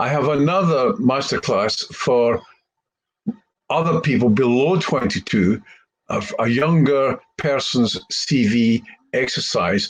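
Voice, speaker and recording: With a Scottish accent, a man at medium pitch speaks at a very slow pace using lively intonation. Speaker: career coach. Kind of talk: tutorial.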